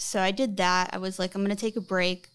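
The clip has a plain, everyday voice on a very clean recording with a silent background. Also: woman. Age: 30s. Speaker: guest seeking financial advice. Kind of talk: casual interview about finances.

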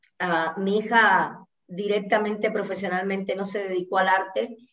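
A woman with a medium pitch talks fairly slowly, her intonation monotone and flat. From Cuba, Santa Clara. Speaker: dancer and choreographer. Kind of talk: casual interview.

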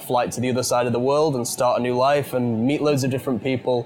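Music plays behind a man speaking. He has a British accent and a fairly quick pace. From UK. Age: 20s. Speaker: podcast host and teacher. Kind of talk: interview conversation. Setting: British pub or restaurant.

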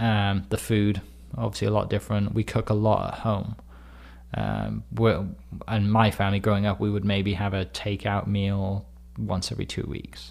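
With a Welsh accent, a man speaks at a moderate pace and a fairly low pitch, using ordinary pitch variation on a very clean recording with a silent background. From Wales. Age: 30s. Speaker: real estate agent and community storyteller. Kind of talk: interview conversation.

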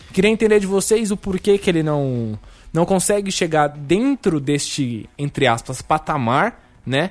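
A man speaks at a fairly slow pace in an animated tone, his pitch swinging very widely. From São Paulo metro area, Brazil. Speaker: student radio host. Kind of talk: casual chat. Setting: virtual round table.

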